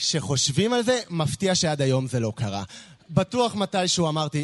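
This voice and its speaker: At a moderate pace, a man speaks in an unremarkable speaking voice with a fairly high pitch. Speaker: slam poet. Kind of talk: spoken word poetry. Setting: stage with audience.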